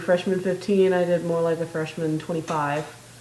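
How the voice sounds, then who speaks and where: A woman with an American accent speaks at a fairly low pitch in a flat monotone, with audible room echo and noticeable background noise. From US Midwest (South Dakota). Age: 20s. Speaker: vlogger. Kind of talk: casual video diary. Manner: hesitant, many filler ums.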